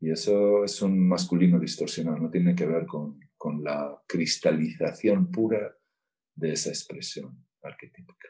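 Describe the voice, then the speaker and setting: Speaking at a fairly slow pace, a man with a very deep, low pitch uses a dark, mellow tone and ordinary pitch variation. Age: 50s. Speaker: therapist. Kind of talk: casual interview. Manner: halting.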